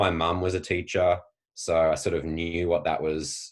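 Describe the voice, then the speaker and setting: In a very clean recording against a silent background, a man talks with an Australian accent. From Australia, Tasmania. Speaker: PE teacher and educator. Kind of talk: interview conversation. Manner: frequent fillers, hesitant.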